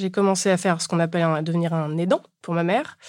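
Fairly even intonation in a very clean recording with a silent background. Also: woman. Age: 30s. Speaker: bereaved daughter sharing her story. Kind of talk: testimony. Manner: casual, colloquial.

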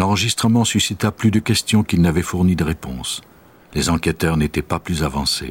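Dramatic in tone, a man speaks at a very deep, low pitch with vocal fry, ordinary pitch variation and a moderate pace, in a dry, close sound with no echo. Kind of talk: true-crime documentary narration. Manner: measured, even, grave storyteller's delivery; formal, steady pace, dramatic and detached.

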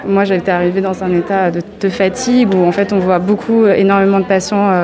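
Noticeable background noise sits behind this recording. A woman speaks at a medium pitch and moderate pace in a monotone, flat intonation. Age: 20s. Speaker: medical resident. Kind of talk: interview on a hospital ward.

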